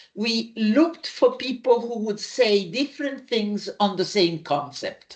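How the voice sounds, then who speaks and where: Somewhat breathy, a woman speaks at a fairly slow pace with lively intonation and hardly any pauses. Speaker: psychologist. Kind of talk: lecture. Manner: halting.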